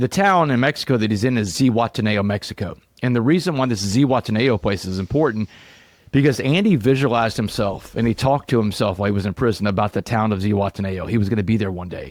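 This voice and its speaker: A man with an American accent at a very fast pace, in a dry, close sound with no echo and a very clean recording with a silent background. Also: medium pitch for a man, ordinary pitch variation. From Southeast Texas. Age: 40s. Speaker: motivational speaker, former prisoner. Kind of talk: podcast interview.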